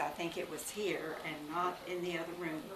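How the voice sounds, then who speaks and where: A woman speaks in a Texan accent at a moderate pace and a fairly low pitch. Noticeable background noise and audible room echo surround her. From Texas, Parker County. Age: 80s+. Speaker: local family elder sharing history. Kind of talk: casual oral history tour. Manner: halting.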